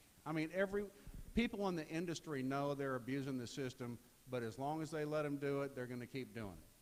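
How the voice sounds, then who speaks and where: The man has an ordinary speaking voice, fairly high in pitch, with lively intonation. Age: 60s. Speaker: political candidate. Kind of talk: campaign speech.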